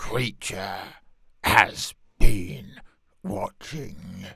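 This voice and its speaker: Growling at a fairly low pitch, a man performs a put-on character voice. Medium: solo performance. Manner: muttering, third-person speech.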